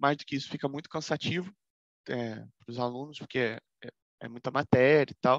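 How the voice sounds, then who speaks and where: Speaking with a Brazilian accent, a man of medium pitch keeps a moderate pace and fairly even intonation, with long, frequent pauses and big swings in loudness, in a dry, close recording with no echo and a quiet background. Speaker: law professor. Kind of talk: lecture.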